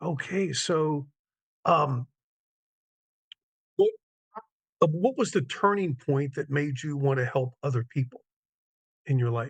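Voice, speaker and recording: A man speaks at a fairly slow pace, leaving long, frequent pauses. His fairly high pitch is somewhat breathy, with ordinary pitch variation. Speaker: event host. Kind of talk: live online event hosting.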